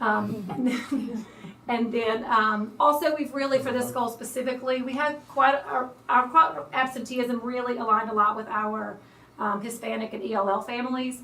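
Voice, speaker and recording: A woman with a high voice speaks in a fairly even tone, with audible room echo and noticeable background noise. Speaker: school administrator. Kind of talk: presentation to school board. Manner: fast.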